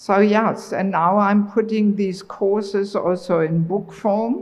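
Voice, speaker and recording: A woman's medium-pitched voice in a German accent, with audible room echo. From Germany. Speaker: traveling preacher. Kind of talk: religious lecture.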